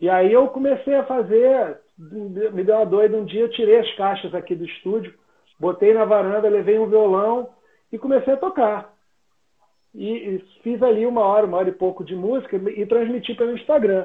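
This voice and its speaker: This man talks in a high register. The variation in his pitch is ordinary. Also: moderate pace. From Rio de Janeiro. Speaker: singer and musician. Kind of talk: casual chat.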